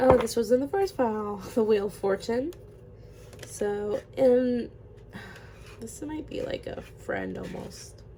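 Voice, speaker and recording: Speaking at a very slow pace with long, frequent pauses, a woman is heard over noticeable background noise. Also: big swings in loudness. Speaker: tarot reader. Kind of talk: tarot reading, casual. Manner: casual, filler-heavy.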